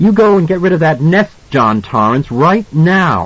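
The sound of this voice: A man's put-on character voice, fairly high and fairly bright, at a fairly slow pace with big pitch swings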